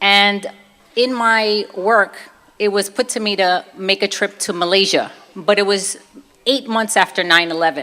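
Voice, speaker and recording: With a Brooklyn accent, a woman talks at medium pitch and a moderate pace in a bright, sharp tone. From Brooklyn, New York. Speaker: fitness and nutrition expert. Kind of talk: testimony. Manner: casual, conversational.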